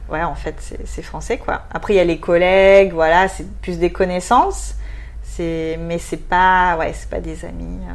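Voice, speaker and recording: A woman talks at a very slow pace with audible room echo and noticeable background noise. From southwest France, near Bordeaux. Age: 20s. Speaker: expatriate. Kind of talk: interview.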